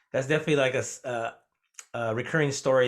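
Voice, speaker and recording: Against a quiet background, a man talks very fast in a Spanish accent. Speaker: podcast host and Spanish teacher. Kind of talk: casual interview chat. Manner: hesitant, many fillers.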